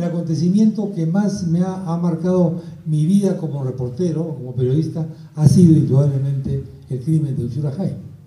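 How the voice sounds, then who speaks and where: A man talks at a moderate pace with a fairly high pitch and ordinary pitch variation. Audible room echo and noticeable background noise surround him. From Peru (Lima), arrived from Spain aged four. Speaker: journalist. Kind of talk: book presentation talk.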